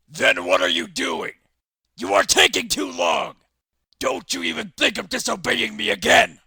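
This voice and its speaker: A man puts on a raspy character voice. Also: moderate pace. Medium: audio drama. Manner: angry, shouting.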